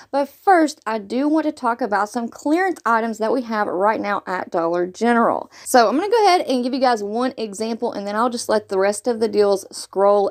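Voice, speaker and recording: With an American accent, a woman speaks at a fairly quick pace with hardly any pauses, her fairly high pitch carried by lively intonation. The sound is dry and close with no echo, though noticeable background noise is present. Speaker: couponing video creator. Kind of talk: shopping deals tutorial.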